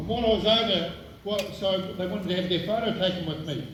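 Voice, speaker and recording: A man speaks in a high pitch with monotone, flat intonation, over noticeable background noise and audible room echo. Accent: New Zealand. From New Zealand. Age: 70s. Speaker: guest speaker at memorial service. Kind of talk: commemorative speech. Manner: halting.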